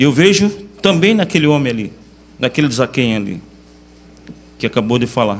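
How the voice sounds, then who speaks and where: At a moderate pace, the speech has very wide pitch swings and long, frequent pauses. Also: man. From Iguape, southern coast of São Paulo state, Brazil. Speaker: invited speaker at a religious congress. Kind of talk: sermon.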